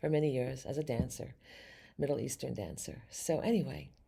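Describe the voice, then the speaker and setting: A woman speaks with vocal fry and a dark, mellow tone. Her intonation is lively. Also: very clean recording, silent background. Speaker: psychic medium and tarot reader. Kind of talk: tarot reading for a video audience. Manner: fast.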